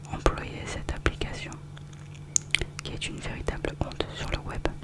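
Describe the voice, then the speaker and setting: Over noticeable background noise, the whispering goes at a fairly slow pace, broken by long, frequent pauses. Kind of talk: ASMR review reading, casual commentary. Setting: close-mic studio recording. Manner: whispered, soft-spoken, relaxing.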